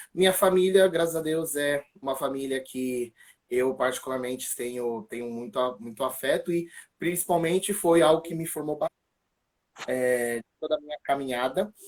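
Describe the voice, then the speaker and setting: The man's pitch sits fairly high, with ordinary variation. He talks at a moderate pace. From São Paulo, Brazil (east zone). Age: 20s. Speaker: church ministry member giving faith testimony. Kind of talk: testimony. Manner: casual, hesitant with fillers.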